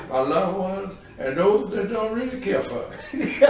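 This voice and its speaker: A man at a fairly slow pace, with very wide pitch swings, audible room echo and noticeable background noise. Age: 70s. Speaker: retired city constable, community leader. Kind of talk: podcast interview, reflective casual talk.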